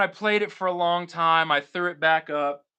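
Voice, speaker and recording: An energetic man with an American accent speaks at a fairly slow pace in a high pitch, his pitch rising and falling in an ordinary way. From Florida, Tampa Bay. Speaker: guitar YouTuber and live streamer. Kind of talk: casual live stream chat. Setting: live stream at home. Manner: loud.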